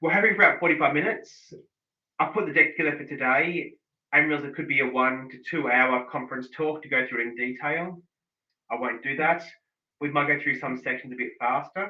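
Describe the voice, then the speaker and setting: A very fast pace with big swings in loudness. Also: man, fairly high pitch for a man, ordinary pitch variation. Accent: Australian. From Australia. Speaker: digital analytics consultant. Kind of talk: online workshop presentation.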